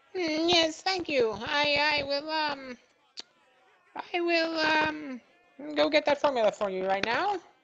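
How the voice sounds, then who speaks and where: A man's put-on character voice at an extremely high pitch, fairly slow, with long, frequent pauses. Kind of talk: comic overacting. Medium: actual play. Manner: hesitant, stammering, overly eager.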